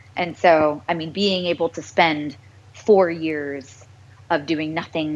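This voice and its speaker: Noticeable background noise sits behind a woman with a very deep, low pitch. Her intonation is fairly even. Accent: American. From US, small town. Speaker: voice actress. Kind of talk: interview.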